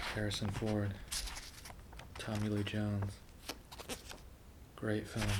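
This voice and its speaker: A soft-spoken, very slow delivery with long, frequent pauses, very even loudness, and noticeable background noise. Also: man. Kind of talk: ASMR page-flipping movie review talk to camera.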